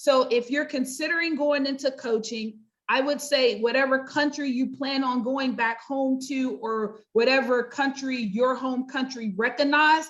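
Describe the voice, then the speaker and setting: Delivered at a moderate pace with hardly any pauses, the speech has fairly even intonation. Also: woman, high pitch for a woman. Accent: American. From US, North Carolina. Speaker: pastor and life coach. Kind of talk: interview.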